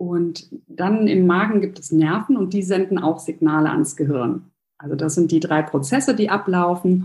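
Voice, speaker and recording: A woman speaks with a fairly low pitch and a somewhat breathy quality. Her pace is moderate and her pitch varies in an ordinary way. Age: 30s. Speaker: nutritionist and hypnosis coach. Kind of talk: interview.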